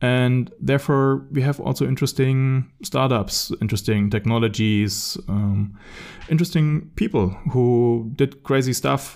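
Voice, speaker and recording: With a German accent, a man speaks at a medium pitch and a fairly slow pace. His loudness stays very even, and his pitch varies in an ordinary way. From Germany. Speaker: podcast host. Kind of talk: casual chat.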